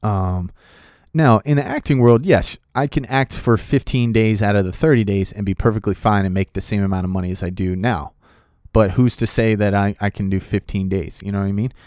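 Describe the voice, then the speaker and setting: In a very clean recording with a silent background and a dry, close sound with no echo, a man with an ordinary speaking voice talks at a fairly quick pace, fairly low in pitch, with ordinary pitch variation. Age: 30s. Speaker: podcast host and aspiring actor, Marine. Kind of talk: casual solo podcast monologue, storytelling. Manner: casual, many fillers.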